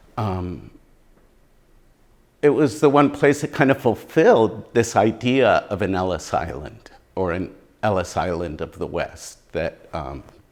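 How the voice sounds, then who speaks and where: A man with an American accent speaks at a fairly slow pace, with vocal fry and very wide pitch swings. Long, frequent pauses break up his speech. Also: medium pitch for a man, very clean recording, silent background. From US East Coast, near Washington DC. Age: 60s. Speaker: muralist and poet. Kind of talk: oral history interview.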